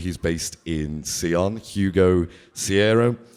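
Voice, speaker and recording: A man with a strong Liverpool accent talks in a very deep, low voice with ordinary pitch variation. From Liverpool, England. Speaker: guitarist. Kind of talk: masterclass. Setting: stage with audience. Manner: casual.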